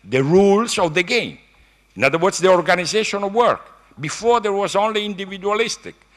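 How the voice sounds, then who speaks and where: A man with an Italian accent, high-pitched, at a moderate pace. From Italy. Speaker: economics professor. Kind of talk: keynote lecture. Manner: halting.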